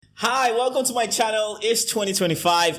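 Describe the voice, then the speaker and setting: A man with an American accent. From Nigeria. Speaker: YouTuber, news commentator. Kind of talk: casual explainer vlog. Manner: conversational, filler-heavy.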